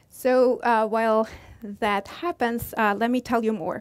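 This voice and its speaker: A woman with an Italian accent talks at a moderate pace against a quiet background. Her pitch is fairly high and her intonation fairly even. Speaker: astrophysics professor. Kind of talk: public science lecture. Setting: stage with audience. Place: hall.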